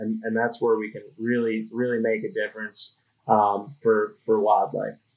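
A man speaks with a Minnesota accent at a moderate pace. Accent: Upper Midwest (Minnesota) American. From Minnesota (Duluth). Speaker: conservation group PR manager. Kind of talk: casual interview. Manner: halting, many fillers and repeats.

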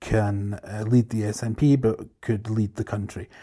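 In a Scottish accent, a man with a dark, mellow, somewhat breathy tone speaks at medium pitch with monotone, flat intonation on a very clean recording with a silent background. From Scotland.

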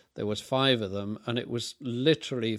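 A man's fairly low voice in an English accent, at a moderate pace with fairly even intonation, on a very clean recording with a silent background. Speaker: film set designer and director. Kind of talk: interview.

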